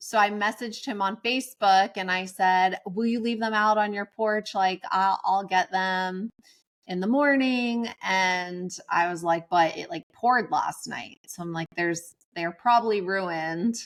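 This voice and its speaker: In a very clean recording with a silent background, a woman talks at a fairly slow pace in a medium pitch with ordinary pitch variation. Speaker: podcast co-host. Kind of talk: casual chat. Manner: loud.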